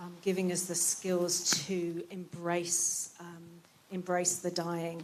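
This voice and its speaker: A woman speaks very slowly in a fairly low pitch with monotone, flat intonation. Her loudness swings widely, and background noise is noticeable. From Britain. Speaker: palliative care doctor. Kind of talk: closing speech at event. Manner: hesitant, many fillers.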